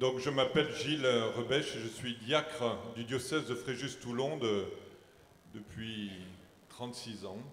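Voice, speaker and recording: A man with a medium pitch and ordinary pitch variation speaks at a very slow pace with long, frequent pauses, audible room echo and noticeable background noise around him. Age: 60s. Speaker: deacon. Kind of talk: round-table talk. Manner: halting, repeats words.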